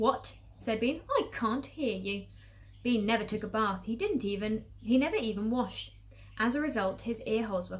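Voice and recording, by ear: With ordinary variation in pitch, a natural voice reads the text aloud.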